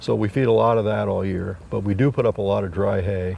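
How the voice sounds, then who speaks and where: With an American accent, the speaker talks at a fairly quick pace with vocal fry and fairly even intonation. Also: man. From northeastern Pennsylvania, Wayne County. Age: 70s. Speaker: dairy farmer. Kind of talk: interview.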